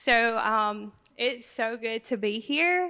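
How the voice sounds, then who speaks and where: A soft-spoken woman with a Southern US accent, bright, sharp tone and ordinary pitch variation, over a quiet background. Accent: US South. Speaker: assistance dog graduate client. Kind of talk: graduation speech. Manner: halting, many fillers.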